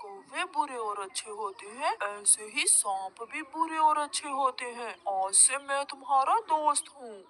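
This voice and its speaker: A cartoonish character voice at a fairly slow pace with hardly any pauses. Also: female-sounding voice, high pitch for a woman. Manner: sly, scheming.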